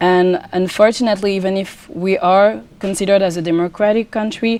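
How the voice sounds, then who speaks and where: A woman with a French accent, medium pitch, ordinary pitch variation and a fairly quick pace. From France. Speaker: pageant contestant and student. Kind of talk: TV interview.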